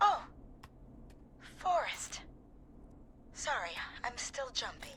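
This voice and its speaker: A put-on character voice comes through shaky and at a fairly slow pace. Background noise is clearly present. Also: woman, high pitch for a woman. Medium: video game. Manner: nervous, shaky.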